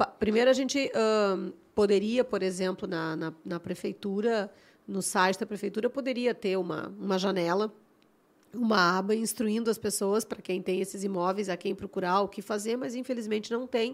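The intonation stays fairly even, with a Gaúcho Brazilian accent. The recording is very clean, with a silent background. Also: woman, medium pitch for a woman. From Rio Grande do Sul, Brazil (Porto Alegre). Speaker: podcast host and architect. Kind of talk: casual interview chat. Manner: fast.

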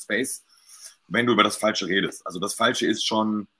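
The recording is very clean, with a silent background. A man speaks at a fairly quick pace in a bright, sharp tone with fairly even intonation. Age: 40s. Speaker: guest on live talk show. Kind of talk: casual chat.

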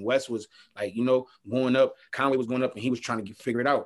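With an American accent, a man talks fairly quickly at a medium pitch in a very clean recording with a silent background. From Buffalo, New York. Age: 20s. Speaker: rapper. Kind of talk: casual interview chat. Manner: halting, repeats words.

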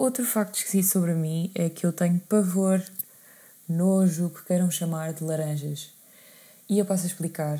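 A European Portuguese accent, with fairly even intonation, long, frequent pauses and big swings in loudness, on a very clean recording with a silent background. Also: woman, fairly low pitch for a woman, moderate pace. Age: 20s. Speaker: podcast host. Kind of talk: casual monologue. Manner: hesitant, many fillers.

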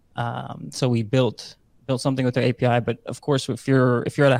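On a very clean recording with a silent background and a dry, close sound with no echo, a man speaks at a medium pitch with monotone, flat intonation. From Netherlands. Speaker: crypto project founder. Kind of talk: casual interview.

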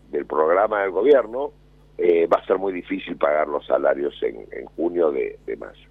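A man at a fairly slow pace. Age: 50s. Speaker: business association president. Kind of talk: radio interview. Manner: halting, with repetitions and fillers.

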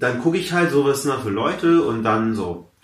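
A man speaks with lively intonation and a somewhat breathy sound. Room echo is audible around him. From Hamburg, Germany, Persian family. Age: 20s. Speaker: comedian. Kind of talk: casual interview chat.

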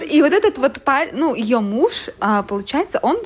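At a moderate pace, a woman's voice moves through very wide pitch swings. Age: 30s. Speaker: podcast host. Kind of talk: casual chat.

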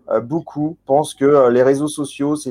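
The background is quiet. Close and dry, the sound has no echo. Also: man. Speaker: podcast host. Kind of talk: interview. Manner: hesitant.

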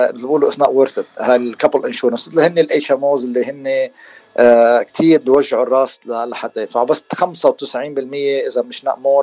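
The audio is dry and close, without any echo. A man delivers his words at a moderate pace. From Lebanon, Beirut area. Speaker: dentist. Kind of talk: radio interview.

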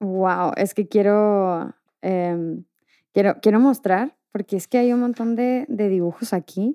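The voice has a Mexican accent and a dark, mellow tone, with ordinary pitch variation at a very slow pace. The sound is dry and close, with no echo. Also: woman, medium pitch for a woman. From Mexico. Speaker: podcast host. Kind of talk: casual interview chat.

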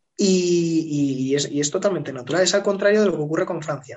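A man with a Spanish accent, fairly high in pitch, with ordinary pitch variation and a moderate pace. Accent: Peninsular Spanish. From Spain. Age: 30s. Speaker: political consultant. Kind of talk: interview.

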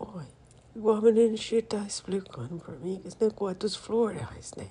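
A woman of medium pitch talks at a fairly slow pace in a gentle, soothing tone. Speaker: grandmother figure, podcast persona. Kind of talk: intimate grandmotherly monologue, warm ASMR-style chat and advice to her 'children'. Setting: recording alone on a phone app, voice only. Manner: gentle, affectionate and soothing, blessing listeners as she winds down.

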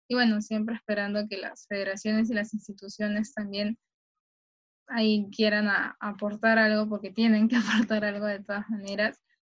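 At a moderate pace, a woman speaks in a fairly high, somewhat breathy voice with monotone, flat intonation. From Peru, Callao. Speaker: sports journalist. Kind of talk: interview.

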